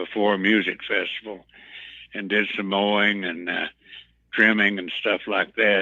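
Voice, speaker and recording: At a fairly slow pace, a man talks in a fairly low pitch with monotone, flat intonation. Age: 80s+. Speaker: former backing singer. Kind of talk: interview. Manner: halting.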